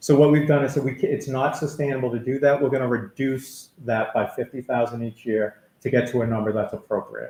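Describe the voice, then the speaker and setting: The voice is somewhat breathy and moves at a fairly quick pace. Its pitch variation is ordinary. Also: man. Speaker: town finance official. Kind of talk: budget presentation.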